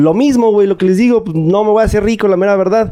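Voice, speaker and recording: A man talks with a Mexican accent. Background noise is noticeable. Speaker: podcast guest. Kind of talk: casual chat.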